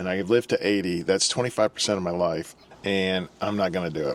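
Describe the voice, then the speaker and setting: Noticeable background noise under rapid-fire talk, its intonation fairly even. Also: man. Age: 60s. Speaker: YouTube channel co-host. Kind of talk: casual advice talk.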